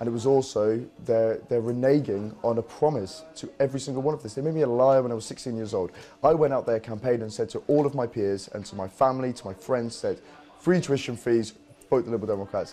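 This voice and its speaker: A man talks very fast while music plays in the background. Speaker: youth party activist. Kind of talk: interview. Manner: halting, repeats words.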